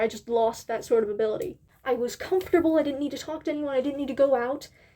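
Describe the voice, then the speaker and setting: A woman's high-pitched voice, dark and mellow in tone, at a fairly quick pace. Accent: American. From Northern Ireland. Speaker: YouTuber. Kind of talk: casual Q&A monologue. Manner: casual, rambling with fillers.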